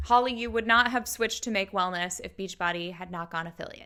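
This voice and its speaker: A woman's raised, projected voice, animated in tone and bright and sharp. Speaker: YouTube commentator on MLMs. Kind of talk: reaction commentary.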